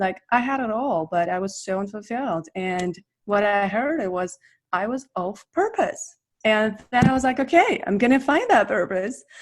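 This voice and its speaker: A woman's fairly high voice in a Russian accent, with lively intonation and a moderate pace. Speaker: business coach. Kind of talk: interview.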